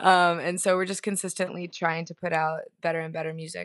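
Very fast in pace, a woman with an American accent speaks at a fairly low pitch. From South Florida (Fort Lauderdale, Miami). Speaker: singer and keyboard player. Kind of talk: casual interview chat.

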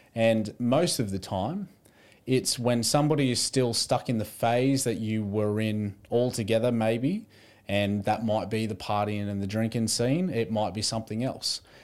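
At a moderate pace, a man with an Australian accent speaks at medium pitch with ordinary pitch variation. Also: very clean recording, silent background. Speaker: podcast host. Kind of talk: casual interview chat.

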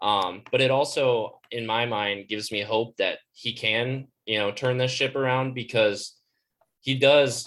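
With a Midwestern US accent, a man talks at medium pitch and a fairly slow pace, his intonation fairly even. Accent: US Midwest. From Iowa, US Midwest. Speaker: co-host, student. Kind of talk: casual chat. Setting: video call.

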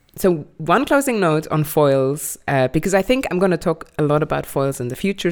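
With lively intonation, a woman talks at a fairly quick pace in a very deep, low pitch. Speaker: podcast host. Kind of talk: casual chat. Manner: loud; animated.

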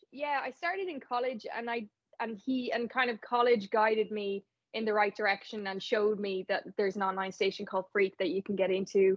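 A woman speaks at a fairly quick pace with a fairly high pitch, ordinary pitch variation, and an Irish accent. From Ireland, Navan. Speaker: radio presenter. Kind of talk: interview. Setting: remote call.

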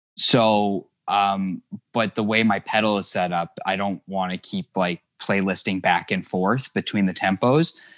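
Here is a plain, everyday voice: a man with a Canadian accent, speaking at a fairly low pitch and a fairly slow pace with ordinary pitch variation. The recording is very clean, with a silent background. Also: hardly any pauses, dry, close sound with no echo. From Thunder Bay, northern Ontario, Canada. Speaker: indie rock guitarist. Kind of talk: casual interview chat.

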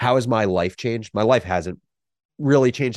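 A man with an American accent and an unremarkable speaking voice, fairly quick, with ordinary pitch variation, dry and close with no echo, over a quiet background. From New Jersey, US. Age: 20s. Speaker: media startup co-founder. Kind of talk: podcast interview.

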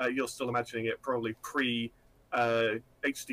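Recorded dry and close with no echo, a man speaks with a northeast English accent. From northeast England. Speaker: indie game developer. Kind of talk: interview conversation.

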